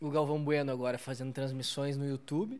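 A man with a southern Brazilian accent, fairly high pitch and a fairly quick pace. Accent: gaúcho Brazilian Portuguese. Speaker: podcast host. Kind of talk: casual interview. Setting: bar recording space.

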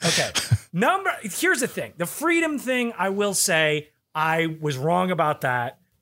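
In a raised, projected voice, a man speaks high and fairly slowly, his tone bright, sharp and animated, with lively intonation. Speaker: podcast co-host. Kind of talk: casual chat.

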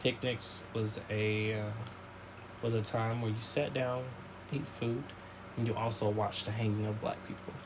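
With a Southern US accent, a man talks in a monotone, flat delivery at a moderate pace and medium pitch, pausing long and often. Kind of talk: casual chat.

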